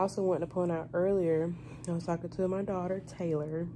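Noticeable background noise behind a woman with a dark, mellow tone, ordinary pitch variation and a moderate pace. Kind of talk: casual vlog chat. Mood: relaxed, slightly nervous. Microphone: phone near.

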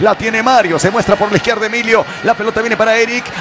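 Over noticeable background noise, a man with a high voice talks in an excited tone at a very fast pace. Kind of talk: live sports commentary. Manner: fast, excited play-by-play.

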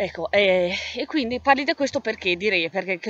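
The speech moves at a fairly quick pace, the sound dry with no echo and light noise in the background. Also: woman. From Val di Sole, Trentino, Italy. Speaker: writer. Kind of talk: casual talk to camera presenting own book. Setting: outdoors, windy. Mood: calm, reflective. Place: open country. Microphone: phone near.

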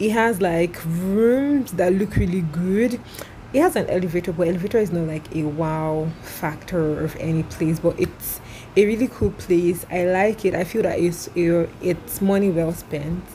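With light background noise, a woman talks at a moderate pace in a fairly low pitch. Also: ordinary pitch variation. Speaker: travel vlogger. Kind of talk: casual vlog chat. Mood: cheerful, laughing. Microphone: phone near.

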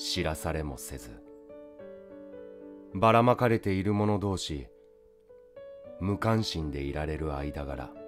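Over music in the background, a man talks in a very deep, low voice with a calm, soothing tone. His pitch swings very widely, and his pace is very slow. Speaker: actor. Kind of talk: poetry reading.

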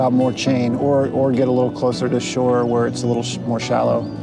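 Clear background music behind a man talking fairly quickly. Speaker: solo sailor vlogger. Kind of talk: casual vlog chat. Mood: relaxed, thoughtful. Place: boat. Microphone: phone near.

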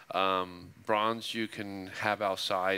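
This man has an American accent. His tone is bright and sharp. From Nevada. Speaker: sculptor. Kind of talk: casual interview. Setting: stage with live audience. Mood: calm, reflective. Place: studio. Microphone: headset.

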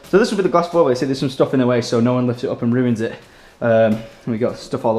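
A man speaks at a very fast pace with ordinary pitch variation, and audible room echo fills the recording. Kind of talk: casual vlog chat. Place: home room. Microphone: camera far.

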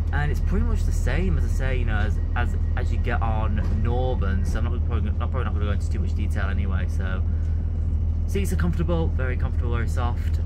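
Very fast speech from a man, with music in the background. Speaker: railway vlogger. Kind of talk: casual vlog chat. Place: train. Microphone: phone near.

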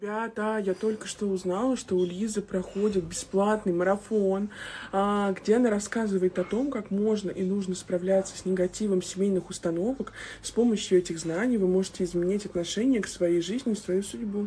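Light background noise underlies a woman's moderate pace and fairly even intonation. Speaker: blogger. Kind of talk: sponsored promo vlog talk. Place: home room. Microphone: phone near.

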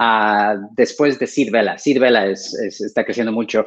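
With fairly even intonation, a man speaks at a moderate pace over a quiet background. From Ecuador. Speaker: co-interviewer, company director; co-interviewer. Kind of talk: interview. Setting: video call. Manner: halting. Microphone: video call.

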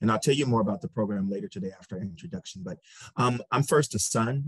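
A man with an American accent speaks with lively intonation. The background is quiet, and the sound is dry with no echo. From Michigan, US Midwest. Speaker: medical researcher, research program head; panelist. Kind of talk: panel discussion. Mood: earnest, personal. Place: home room. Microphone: webcam.

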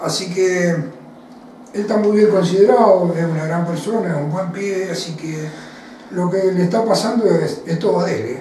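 With audible room echo and light background noise, a man speaks at a moderate pace in a high pitch with ordinary pitch variation. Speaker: former footballer. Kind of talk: interview. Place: home room.

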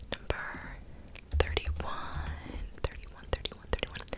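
A woman is speaking. She whispers throughout. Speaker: ASMR creator. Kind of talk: soft casual ASMR chat. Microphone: studio mic.

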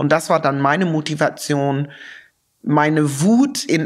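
At a fairly slow pace, a woman speaks in a very deep, low voice with ordinary pitch variation. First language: English (speaking German). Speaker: sociologist and activist, author. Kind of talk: interview. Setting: studio-like room in an office.

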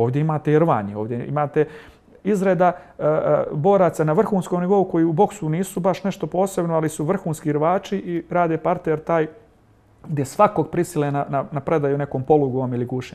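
This man has a dark, mellow tone and a fairly high pitch. He speaks at a fairly quick pace with ordinary pitch variation. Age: 40s. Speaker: MMA fighter and club coach; club coach. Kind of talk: TV interview. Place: studio. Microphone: lapel.

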